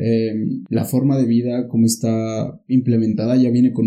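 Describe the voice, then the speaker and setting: A man of medium pitch and dark, mellow tone speaks at a fairly slow pace in a monotone, flat intonation. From Mexico, Pachuca (Hidalgo). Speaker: podcaster and guest. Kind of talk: casual chat.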